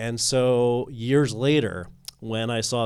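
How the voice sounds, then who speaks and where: Recorded very cleanly against a silent background, this man has an ordinary speaking voice at a medium pitch with fairly even intonation. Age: 30s. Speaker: filmmaker. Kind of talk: panel discussion.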